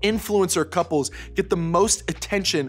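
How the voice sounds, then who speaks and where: There is faint music in the background. Over it, a man speaks at a moderate pace. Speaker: youth program host. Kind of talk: scripted talk to camera for teens. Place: studio.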